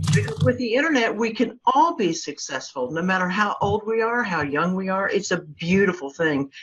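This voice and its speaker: A woman at medium pitch with very wide pitch swings, amid noticeable background noise. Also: moderate pace. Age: 60s. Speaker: local marketing agency owner. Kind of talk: interview.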